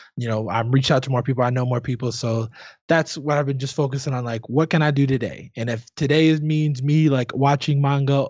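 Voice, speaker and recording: Speaking at a fairly quick pace, a man with a plain, everyday voice keeps a medium pitch and fairly even intonation. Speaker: language learner. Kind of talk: casual chat.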